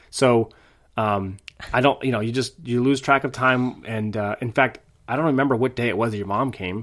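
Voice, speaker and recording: This man has an unremarkable speaking voice, pitched in the medium range. He keeps a moderate pace and fairly even intonation. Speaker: podcast co-host, parent. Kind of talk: casual chat.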